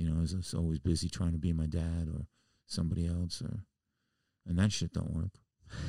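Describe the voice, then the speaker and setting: A man with a very deep, low pitch and a dark, mellow tone speaks at a moderate pace in a New York accent, his intonation monotone and flat. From New York City (the Bronx). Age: 70s. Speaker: musician. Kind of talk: casual chat. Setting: studio.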